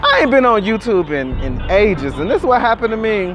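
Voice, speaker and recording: Over music in the background and audible room echo, a man talks at a fairly quick pace. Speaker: YouTube vlogger. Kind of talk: casual vlog monologue. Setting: outdoors at night. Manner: animated.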